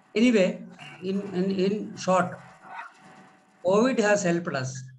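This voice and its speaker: Here a man speaks very slowly in an Indian accent. His pitch is high, with ordinary variation. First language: Malayalam. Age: 50s. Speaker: manager. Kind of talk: class discussion. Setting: video call.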